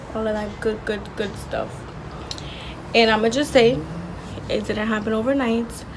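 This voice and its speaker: In a room with audible echo and noticeable background noise, a soft-spoken woman talks at a fairly high pitch in a flat monotone. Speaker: vlogger. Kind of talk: casual monologue.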